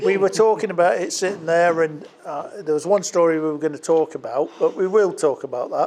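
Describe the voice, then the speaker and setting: Over noticeable background noise, a man with a high-pitched voice speaks at a fairly quick pace with hardly any pauses. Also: ordinary pitch variation. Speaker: wedding speech giver, bride's uncle. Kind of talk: wedding speech. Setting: wedding reception with audience. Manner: loud. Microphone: speaking without microphone.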